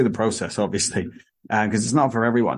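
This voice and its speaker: Against a quiet background, a man with an English accent speaks in a medium pitch. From England. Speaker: podcast host. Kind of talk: casual chat.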